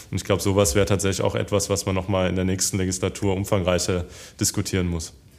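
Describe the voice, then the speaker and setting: A man with a very deep, low pitch speaks at a very fast pace in a monotone, flat delivery on a very clean recording with a silent background. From Hesse, Germany (Darmstadt). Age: 20s. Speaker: politician. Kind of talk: interview. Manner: hesitant, many fillers.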